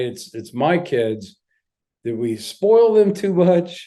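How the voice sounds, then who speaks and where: The voice has a dark, mellow tone and lively intonation. It moves at a very slow pace. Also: man. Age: 60s. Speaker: former police chief and security expert. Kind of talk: podcast interview. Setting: podcast.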